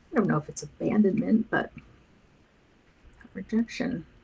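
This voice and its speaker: A soft-spoken woman talks in a mumble. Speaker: counselor and artist streaming a body doubling session. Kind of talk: casual live-stream chat while painting. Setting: live video stream. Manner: mumbling.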